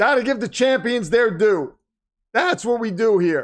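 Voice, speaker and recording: The voice is squeaky and moves at a moderate pace. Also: man. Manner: excited, announcing.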